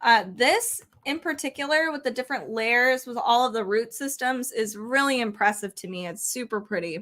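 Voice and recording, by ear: A woman's fairly high, fairly bright voice at a moderate pace, with ordinary pitch variation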